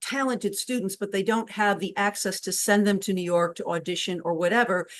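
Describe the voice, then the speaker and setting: In a quiet background, a woman with a New England accent speaks at a fairly quick pace with a medium pitch and fairly even intonation. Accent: New England flat A. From Connecticut, New England. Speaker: cabaret performer and interview host. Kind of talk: casual interview chat.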